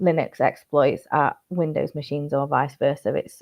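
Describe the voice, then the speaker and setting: A woman speaks with a Yorkshire accent. Her intonation stays fairly even. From Yorkshire, northern England. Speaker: cybersecurity news presenter. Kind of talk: news briefing monologue.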